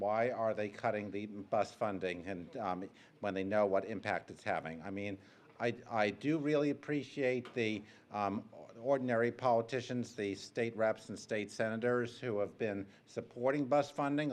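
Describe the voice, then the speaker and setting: Here a man talks at a moderate pace. His medium-pitched voice has ordinary pitch variation. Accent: Rhode Island. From Rhode Island, Providence. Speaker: public commenter, bus rider activist. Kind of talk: public hearing testimony. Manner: hesitant, frequent filler ums.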